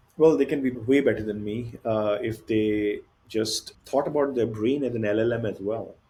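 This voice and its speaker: A man speaks with an Indian accent, medium in pitch, dark and mellow in tone, and somewhat breathy. His intonation is fairly even and his pace moderate. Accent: Indian English accent, noticeable. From India (Bihar). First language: Hindi or other Indian language. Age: 40s. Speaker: tech company founder and CEO. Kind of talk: podcast interview.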